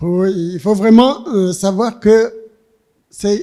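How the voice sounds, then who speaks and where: Speaking at a very slow pace, a man has a high-pitched voice with ordinary pitch variation. His tone is dark and mellow. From Rwanda. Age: 70s. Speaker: author. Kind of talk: literary discussion. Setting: public library event with audience. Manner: halting.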